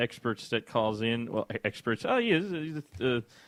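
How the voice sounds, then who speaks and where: A man talks with an American accent. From US Midwest. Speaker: radio show host. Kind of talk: casual radio talk show. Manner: subdued.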